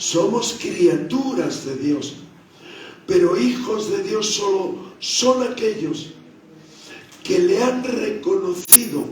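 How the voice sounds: Strong room echo surrounds a voice with a slightly mellow tone and ordinary pitch variation. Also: man.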